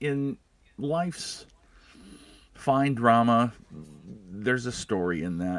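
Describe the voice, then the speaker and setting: Speaking at a fairly slow pace, a man with an American accent and a medium pitch makes very wide pitch swings. The recording is very clean with a silent background. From Iowa, Des Moines. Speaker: comedian. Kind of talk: casual chat.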